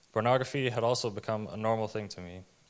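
Very fast, fairly low-pitched male speech with fairly even intonation. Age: 20s. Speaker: baptism candidate. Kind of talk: testimony. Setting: church.

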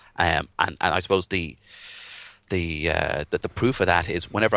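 A bright, sharp-toned voice with an Irish accent, set against a quiet background. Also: man. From Ireland. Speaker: WordPress developer and social media marketer. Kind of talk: interview.

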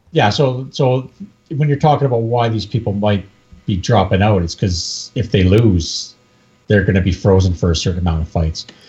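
Somewhat breathy, a man with a Canadian accent speaks in a fairly low pitch with lively intonation. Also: moderate pace. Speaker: UFC MMA expert. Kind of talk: casual chat.

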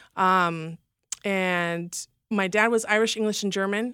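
A woman's bright, sharp tone comes at a medium pitch and a moderate pace. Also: very clean recording, silent background. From Los Angeles, California. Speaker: former stripper sharing faith testimony. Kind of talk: testimony. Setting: studio.

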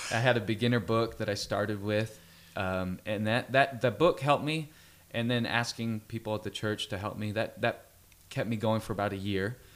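Speaking at a moderate pace, a man keeps his intonation fairly even. He has a Californian accent. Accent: General American (Californian). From Central California (Fresno). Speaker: worship leader and musician. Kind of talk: radio interview.

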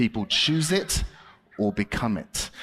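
A man with a British accent speaks at a very slow pace, his intonation lively. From Britain. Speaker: children's preacher and ventriloquist. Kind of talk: children's ministry talk with puppet act. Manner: animated.

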